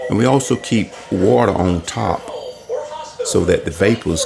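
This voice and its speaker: A man speaks with music in the background. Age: 60s. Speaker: homeowner vlogger. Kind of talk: tutorial. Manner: casual, conversational.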